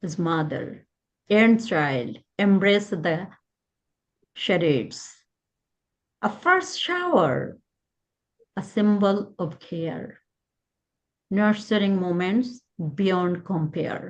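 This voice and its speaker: Speaking very slowly with long, frequent pauses, a woman with a Bengali accent shows ordinary pitch variation. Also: medium pitch for a woman. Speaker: poet. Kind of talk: poetry reading.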